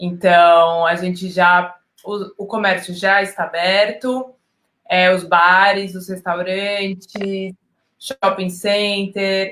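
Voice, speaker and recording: Monotone and flat, a woman's medium-pitched voice moves at a very slow pace. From Brazil. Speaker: educational communicator and photographer. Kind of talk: casual interview.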